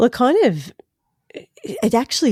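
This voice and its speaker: A woman with an Australian accent speaks at a moderate pace with lively intonation and a dark, mellow tone. The sound is dry and close with no echo, and the recording is very clean against a silent background. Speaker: podcaster and speaker. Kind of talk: podcast interview answer.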